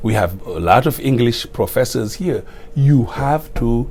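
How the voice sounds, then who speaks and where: In a Senegalese accent, the speaker keeps a moderate pace with ordinary pitch variation. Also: man. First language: Wolof. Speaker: retiring school principal. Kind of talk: interview.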